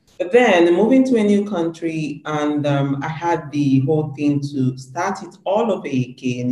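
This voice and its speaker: The pace is moderate, with ordinary pitch variation. Noticeable background noise runs underneath. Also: man. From Nigeria, Anambra State (Igbo). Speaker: media entrepreneur and show host. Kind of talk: interview. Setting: video call.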